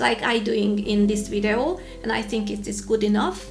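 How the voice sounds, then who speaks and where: A woman's fairly high voice in a Hungarian accent at a moderate pace, with audible room echo and noticeable background noise. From Hungary. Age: 40s. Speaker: YouTuber. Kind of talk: tutorial vlog.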